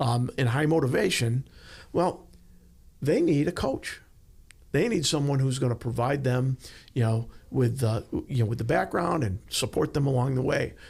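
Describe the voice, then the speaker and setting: Somewhat breathy, a man speaks at a moderate pace and medium pitch with ordinary pitch variation, very even loudness, and long, frequent pauses. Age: 60s. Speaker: leadership consultant, former law enforcement. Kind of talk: podcast interview. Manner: hesitant, many fillers.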